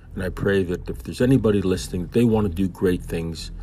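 A man speaks at a fairly quick pace with a very deep, low pitch, a dark, mellow tone and a somewhat breathy quality. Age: 50s. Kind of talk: devotional Bible commentary. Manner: conversational.

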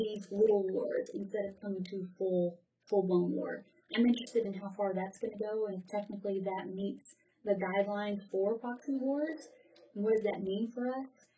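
Somewhat breathy, a woman's voice carries a dark, mellow tone and ordinary pitch variation. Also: medium pitch for a woman, moderate pace. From US South. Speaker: graduate student and military veteran. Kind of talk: interview.

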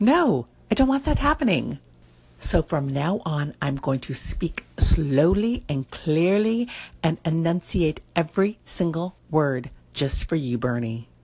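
Somewhat breathy, a woman with a very deep, low pitch speaks at a fairly slow pace with very wide pitch swings. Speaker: social media vlogger. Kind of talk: casual chat. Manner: animated.

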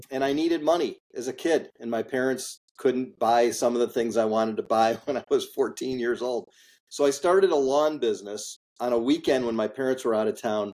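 A man with an American accent uses a plain, everyday voice at medium pitch and a moderate pace, with ordinary pitch variation. The recording is very clean, with a silent background. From US Midwest, Chicago suburbs. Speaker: industrial real estate investor. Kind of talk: interview.

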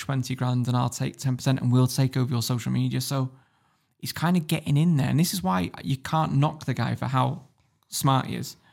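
A plain, everyday voice at a fairly quick pace. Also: man. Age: 30s. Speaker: YouTuber exposing business scams. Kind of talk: casual podcast interview.

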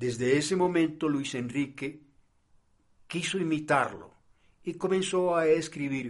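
Moving at a very slow pace, a man speaks with ordinary pitch variation. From Colombian Caribbean coast (Barranquilla). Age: 70s. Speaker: drama professor and researcher. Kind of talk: reading aloud a research text.

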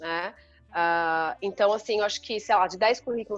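An unremarkable speaking voice with ordinary pitch variation moves at a fairly quick pace. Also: woman. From Brazil, São Paulo state interior (Sorocaba). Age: 40s. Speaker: IT executive and women's leadership mentor. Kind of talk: casual interview.

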